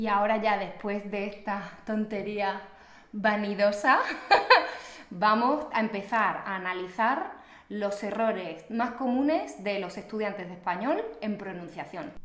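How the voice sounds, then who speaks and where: Over noticeable background noise, a woman speaks fairly slowly in a southern Extremaduran accent. Her pitch sits in the middle of her range and varies in an ordinary way. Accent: Extremaduran Spanish, southern, drops final s. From Extremadura, Spain.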